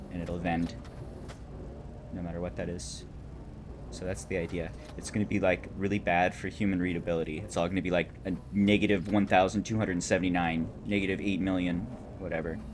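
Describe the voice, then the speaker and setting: A man with a very deep, low pitch and vocal fry speaks at a fairly quick pace in a relaxed tone. Long pauses come often, and his pitch varies in an ordinary way. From California. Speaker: video game streamer. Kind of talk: casual live-stream chat and gameplay commentary.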